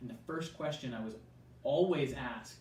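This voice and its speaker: With audible room echo, a man in an American accent talks fairly quickly with lively intonation. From US, Southern California. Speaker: youth pastor. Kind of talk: interview. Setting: video call.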